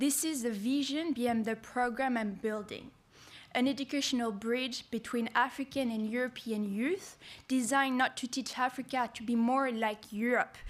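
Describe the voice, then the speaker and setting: Speaking in a French accent at a moderate pace, a woman uses a high pitch and fairly even intonation. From France. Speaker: youth program founder. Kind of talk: conference speech.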